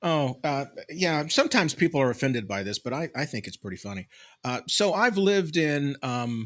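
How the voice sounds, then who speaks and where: Heard in a very clean recording with a silent background, a man with a slight Southern US accent and a fairly high pitch talks at a fairly quick pace, with very wide pitch swings and big swings in loudness. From Mississippi, Tupelo. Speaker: podcast co-host. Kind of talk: casual chat.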